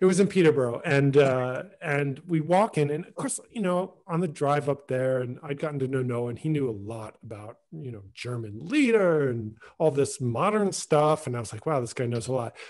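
A man's medium-pitched voice at a moderate pace, slightly mellow in tone, with lively intonation.

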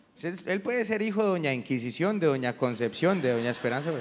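Light background noise surrounds a man's voice. He talks at a very fast pace with a fairly high pitch. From Colombia. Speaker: comedian. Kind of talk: stand-up. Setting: stage with audience. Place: stage. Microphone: handheld.

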